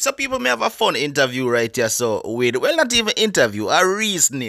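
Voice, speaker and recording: A man with a Jamaican accent, fairly quick, very even in loudness, over noticeable background noise. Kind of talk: casual interview intro to camera.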